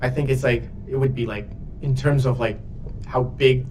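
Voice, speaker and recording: The speaker has a Brazilian Portuguese accent, with audible room echo and noticeable background noise. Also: man. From Brazil, São Paulo. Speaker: 3D character artist. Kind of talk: casual livestream chat. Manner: halting, many fillers.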